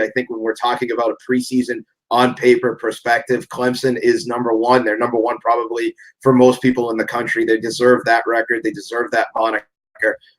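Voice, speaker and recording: The speaker uses a Boston accent at a moderate pace. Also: man. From Massachusetts, Boston area. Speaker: sports podcast guest. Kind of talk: casual chat.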